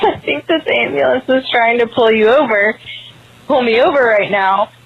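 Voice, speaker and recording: A woman's high-pitched voice rises and falls with lively intonation while noticeable background noise carries on behind it. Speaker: caller. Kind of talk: recorded phone story. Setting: phone call. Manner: halting.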